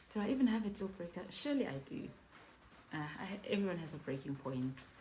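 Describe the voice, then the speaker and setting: A loud woman talks at a fairly quick pace and medium pitch, her voice making very wide pitch swings amid audible room echo. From South Africa. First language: Zulu. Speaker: YouTuber, mother. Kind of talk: casual Q&A vlog. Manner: loud, animated.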